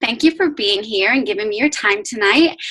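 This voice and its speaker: Her tone bright and sharp, a woman with a Northern Irish accent speaks in a lively intonation. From Northern Ireland. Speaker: fitness business coach. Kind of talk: team call talk. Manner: fast.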